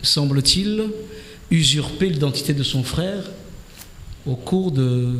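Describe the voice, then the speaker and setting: In a room with audible echo and noticeable background noise, a man speaks very slowly with lively intonation. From Comoros. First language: Comorian (speaking French). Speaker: politician, member of parliament. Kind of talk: radio political debate interview. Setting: radio studio. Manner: hesitant, with frequent fillers.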